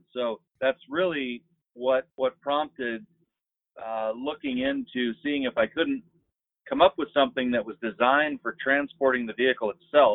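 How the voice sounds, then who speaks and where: With an American accent, a man in a plain, everyday voice speaks at a moderate pace and medium pitch with ordinary pitch variation. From Marshall Islands, then US from 15. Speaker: business founder. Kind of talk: casual interview.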